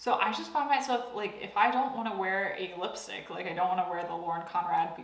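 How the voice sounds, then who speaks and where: At a fairly quick pace, a woman of medium pitch speaks with lively intonation, with audible room echo and noticeable background noise. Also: hardly any pauses. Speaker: beauty youtuber. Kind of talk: product review monologue.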